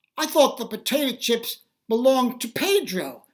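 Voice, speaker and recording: A woman does a put-on character voice with a high pitch and lively intonation. Her pace is moderate. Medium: read story. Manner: meek, apologetic.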